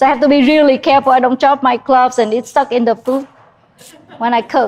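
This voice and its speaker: This woman talks at a fairly quick pace with a strong Vietnamese accent and a high pitch. Her intonation stays flat and monotone, and her loudness is very even. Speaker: chef. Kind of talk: cooking demonstration. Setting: cooking class with live audience. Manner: halting, many fillers.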